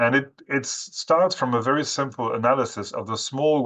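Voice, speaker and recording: A man with a French accent, a bright, sharp tone and ordinary pitch variation, over a quiet background. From France. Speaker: webinar speaker on forestry. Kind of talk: webinar presentation. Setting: online webinar. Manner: halting, many fillers.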